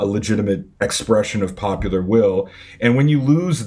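The intonation is lively and the pace moderate. The voice is somewhat breathy. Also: man. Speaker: podcast guest. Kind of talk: interview answer. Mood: serious, thoughtful. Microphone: earbuds.

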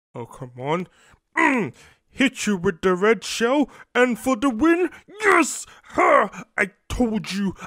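A man puts on a cartoonish character voice. It is extremely high-pitched and very slow. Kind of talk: comic overacting. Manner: gloating, taunting, boastful.

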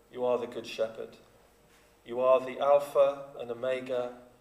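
Amid audible room echo, a man talks at a fairly slow pace with fairly even intonation. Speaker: minister leading worship. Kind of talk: prayer. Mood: calm, reverent. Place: church. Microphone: podium.

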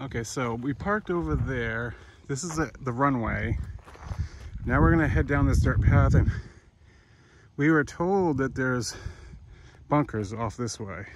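A man talks at a fairly slow pace with very wide pitch swings, in a dry sound with no echo and noticeable background noise. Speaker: vlogger. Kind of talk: casual vlog chat. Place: open country. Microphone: phone near.

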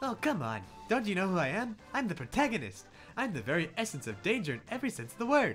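Over clear music in the background, a man uses a put-on character voice at a high pitch. He talks at a very fast pace with very wide pitch swings. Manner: boastful, over-the-top.

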